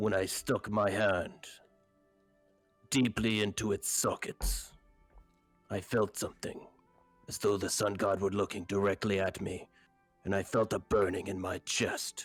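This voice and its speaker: Doing a put-on character voice at a fairly low pitch, a man speaks at a moderate pace in a monotone, flat way, with long, frequent pauses and faint music in the background. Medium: actual play. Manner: blunt, simple phrasing.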